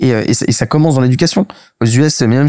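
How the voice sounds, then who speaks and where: A man at a very fast pace, dry and close with no echo. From Paris, France. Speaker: startup cofounder. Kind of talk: interview. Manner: hesitant, many fillers.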